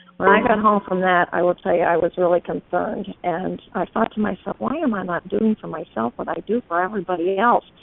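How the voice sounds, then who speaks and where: Over noticeable background noise, the speaker talks at a fairly quick pace with ordinary pitch variation. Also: woman, medium pitch for a woman. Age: 60s. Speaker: testimonial speaker. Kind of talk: testimony.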